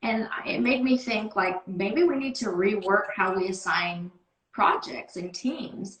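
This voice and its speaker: A woman with a normal speaking voice talks at a fairly slow pace, at medium pitch with ordinary pitch variation. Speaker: sales team manager. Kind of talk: casual interview. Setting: video call.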